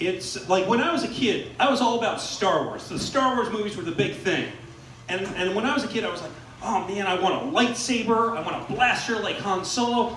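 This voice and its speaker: High-pitched male speech amid noticeable background noise and audible room echo. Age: 40s. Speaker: stand-up comedian. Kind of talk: stand-up. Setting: stage with audience.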